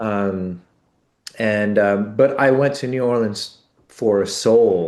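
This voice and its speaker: In a quiet setting, a man with an American accent speaks very slowly at a medium pitch, with ordinary pitch variation. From Los Angeles. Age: 60s. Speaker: bass player in a band. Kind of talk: interview. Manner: halting, many fillers.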